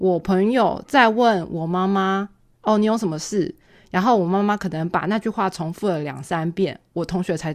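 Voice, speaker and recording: A woman of medium pitch speaks in a Taiwanese accent with hardly any pauses, big swings in loudness and ordinary pitch variation, on a very clean recording with a silent background. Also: moderate pace. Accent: Taiwanese Mandarin. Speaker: podcast co-host. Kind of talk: casual chat.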